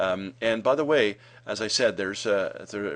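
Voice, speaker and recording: A man talks with a fairly low pitch. His pitch varies in an ordinary way. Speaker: marketing consultant. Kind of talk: tutorial. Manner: fast; hesitant, many fillers.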